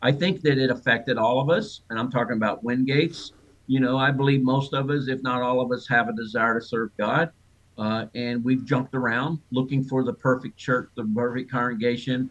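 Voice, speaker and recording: A man speaks in a plain, everyday voice at a medium pitch. His pace is fairly quick and his intonation fairly even. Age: 60s. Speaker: author of a church memoir. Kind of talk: interview.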